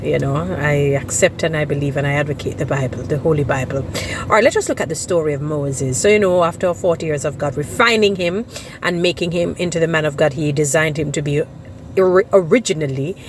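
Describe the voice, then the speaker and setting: Speaking very fast with a Jamaican accent, a woman has a very deep, low pitch and ordinary pitch variation over noticeable background noise. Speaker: social media commentator. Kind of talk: monologue vlog with biblical commentary.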